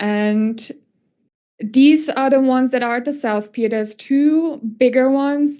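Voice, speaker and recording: At a fairly slow pace, a woman speaks in a normal speaking voice with fairly even intonation. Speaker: acoustical consultant presenter. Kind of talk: conference presentation.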